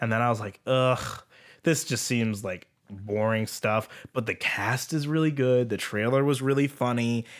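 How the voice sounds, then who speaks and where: Recorded very cleanly against a silent background, a man with an ordinary speaking voice, medium pitch and ordinary pitch variation speaks at a fairly slow pace. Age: 20s. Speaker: podcast co-host. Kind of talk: casual chat.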